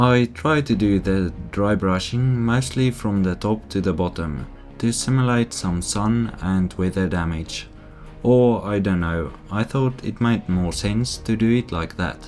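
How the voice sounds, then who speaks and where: A man speaks at a fairly slow pace with a fairly low pitch and ordinary pitch variation, with music in the background. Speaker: model railroad hobbyist. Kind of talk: casual voice-over narration.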